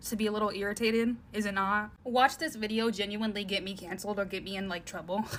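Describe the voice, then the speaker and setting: Noticeable background noise sits behind a woman whose pitch is fairly high. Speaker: social media influencer. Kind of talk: casual rant to camera. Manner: whiny.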